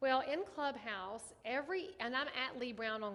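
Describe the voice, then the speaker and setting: With a Southern US accent, a woman speaks in an animated tone with lively intonation. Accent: Southern US country. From US South. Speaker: real estate agent and ethics trainer. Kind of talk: online training class. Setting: live stream.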